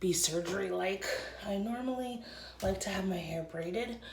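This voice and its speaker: Medium pitch from a woman at a fairly slow pace, amid noticeable background noise and audible room echo. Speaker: vlogger and congenital heart patient. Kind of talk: casual vlog talk. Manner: speaking quietly.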